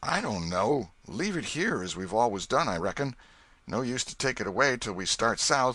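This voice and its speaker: A man puts on a raspy character voice at medium pitch. He talks at a moderate pace with lively intonation. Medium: read story. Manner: wary, low-voiced.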